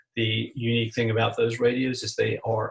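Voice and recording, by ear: With vocal fry and a slightly husky edge, a man speaks at medium pitch with little pitch movement.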